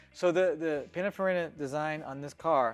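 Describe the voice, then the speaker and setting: Putting on a character voice, a man speaks at a fairly high pitch and a moderate pace. He mumbles his words. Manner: mumbled on purpose.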